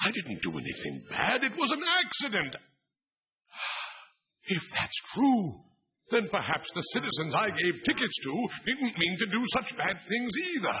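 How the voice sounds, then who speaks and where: A man's cartoonish character voice, pompous and high-pitched, at a moderate pace with long, frequent pauses. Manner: pompous, formal.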